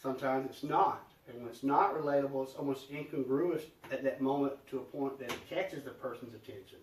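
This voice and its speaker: A man with a Southern US accent and a fairly high pitch talks at a very fast pace. His intonation is fairly even, his loudness swings a lot, and there is noticeable background noise. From US South. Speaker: podcast guest. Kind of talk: casual chat. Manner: dramatic.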